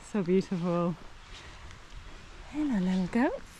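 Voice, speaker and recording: A woman speaks over noticeable background noise. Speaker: hiking vlogger. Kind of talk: outdoor vlog narration. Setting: outdoors.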